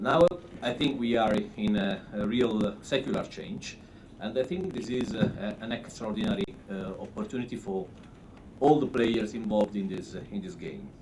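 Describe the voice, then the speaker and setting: With noticeable background noise and audible room echo, the speaker moves at a moderate pace while the pitch swings very widely. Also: man, medium pitch for a man. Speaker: rating agency executive. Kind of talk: conference presentation. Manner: halting.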